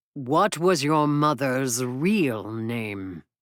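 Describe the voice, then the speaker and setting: On a very clean recording with a silent background, a man at a medium pitch performs a put-on character voice. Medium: read story. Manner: formal, aloof.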